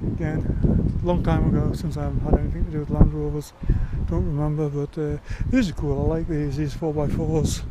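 At a fairly quick pace, the speech comes through with a dry sound with no echo and loud background noise. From England. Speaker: YouTuber. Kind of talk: vlog walkaround commentary. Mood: relaxed, nostalgic. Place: open country. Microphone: phone near.

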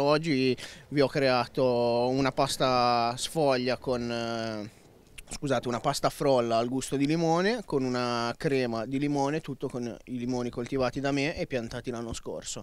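At a fairly slow pace, a man with medium pitch and an unremarkable speaking voice is heard in a dry sound with no echo. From Liguria, Cinque Terre; Liguria. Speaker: young farmer. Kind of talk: interview. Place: street. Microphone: handheld.

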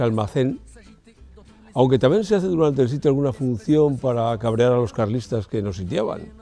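Faint music plays in the background as a man speaks, with a dry sound and no echo. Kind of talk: interview answer. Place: hall.

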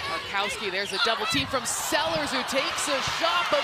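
The tone is energetic, with noticeable background noise behind the voice. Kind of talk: live sports commentary, play-by-play. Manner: energetic, quick-paced play-by-play.

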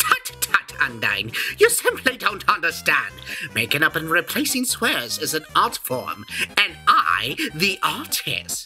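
A put-on character voice speaks at a fairly slow pace. Clear music plays in the background. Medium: dub. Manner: theatrical, exclamatory.

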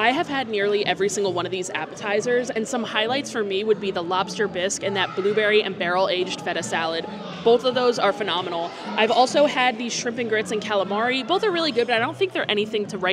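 A woman talks at a very fast pace with hardly any pauses and ordinary pitch variation, while clear music plays in the background. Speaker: food vlogger. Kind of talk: casual vlog chat. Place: cafe. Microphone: lapel.

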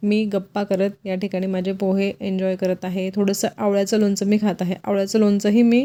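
In a very clean recording with a silent background, a woman speaks at medium pitch with a dark, mellow tone and monotone, flat intonation. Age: 40s. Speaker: lifestyle vlogger. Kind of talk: vlog narration.

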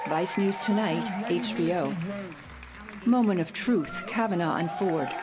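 Lively intonation marks a woman's speech, with crowd noise in the background. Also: fairly slow pace. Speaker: voice actor. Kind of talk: live event announcer. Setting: PA system. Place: studio.

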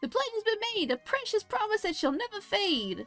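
At a moderate pace, a put-on character voice carries the lines. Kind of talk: comic overacting. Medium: game stream. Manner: fretful, sing-song rhymes.

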